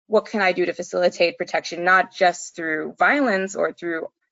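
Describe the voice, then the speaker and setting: Vocal fry runs through this woman's voice. Her pitch is fairly low. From Bangladeshi background. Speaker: environmental research associate. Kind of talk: interview.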